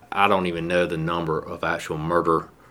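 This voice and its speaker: A man with a Southern US accent speaks at a moderate pace in a very deep, low pitch. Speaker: police captain. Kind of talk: interview.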